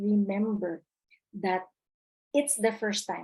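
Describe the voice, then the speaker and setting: A woman speaks with a somewhat breathy voice. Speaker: webinar presenter. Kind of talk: webinar lecture.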